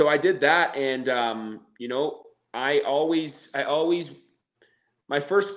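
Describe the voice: A man speaks slowly at a fairly high pitch. His tone is fairly bright, and his pitch varies in an ordinary way.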